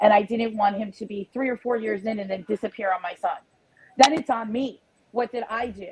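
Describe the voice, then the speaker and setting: A woman speaks with an animated tone and an American accent, her pitch fairly high. Her loudness swings widely, and the sound is dry and close with no echo. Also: fairly quick pace. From US Northeast, New Jersey. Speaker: panel guest. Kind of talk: casual chat. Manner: fast.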